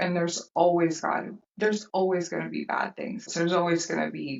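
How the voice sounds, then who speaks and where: Fairly low in pitch, a woman speaks at a moderate pace with vocal fry. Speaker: sales and operations leader. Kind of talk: casual interview.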